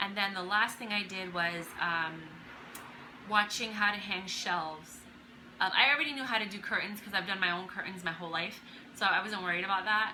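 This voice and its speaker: A woman talks at a very fast pace in a medium pitch, with ordinary pitch variation. Noticeable background noise and audible room echo come through. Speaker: DIY handyperson vlogger. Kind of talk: tutorial. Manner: casual, with many fillers.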